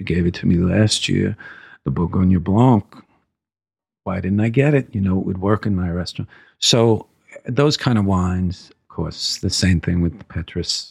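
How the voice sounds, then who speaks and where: A man's very deep, low, somewhat breathy voice with an American accent. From New York, Brooklyn. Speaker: wine importer sales executive. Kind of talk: interview.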